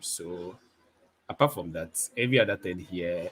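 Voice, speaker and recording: Speaking at a very slow pace, a man uses a very deep, low pitch with ordinary pitch variation and a bright, sharp tone. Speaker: photographer and video creator. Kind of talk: casual chat. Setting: live stream.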